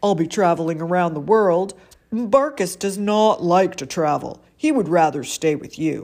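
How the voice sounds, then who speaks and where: Doing a booming, put-on character voice, a woman speaks at a medium pitch and a moderate pace with lively intonation. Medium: read story. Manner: hearty, booming.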